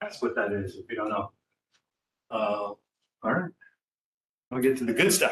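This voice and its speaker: A man speaks at a fairly quick pace. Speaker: presenter. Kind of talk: presentation.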